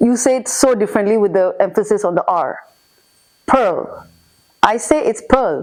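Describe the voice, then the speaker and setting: A woman speaks in a Singaporean accent at a fairly high pitch and a moderate pace, with long, frequent pauses. Her intonation is lively and her tone animated. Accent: Singaporean English, light. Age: 40s. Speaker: immigrant interviewee. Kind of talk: casual interview chat.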